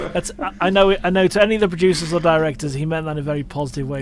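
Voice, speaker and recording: A man talks at a very fast pace with a fairly high pitch and ordinary pitch variation. Noticeable background noise runs underneath. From northwest England. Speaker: podcast host. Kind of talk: casual interview chat.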